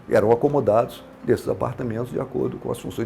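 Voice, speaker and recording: A man speaks over noticeable background noise. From Minas Gerais, Brazil (Lavras), raised in Brasília from 12. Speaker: businessman, city pioneer. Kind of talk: oral history testimony. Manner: halting, many fillers and restarts.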